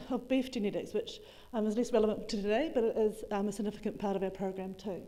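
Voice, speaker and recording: A woman's dark, mellow voice in a New Zealand accent, ordinary pitch variation, with audible room echo. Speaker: agricultural researcher. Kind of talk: conference talk. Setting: conference room with audience. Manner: fast.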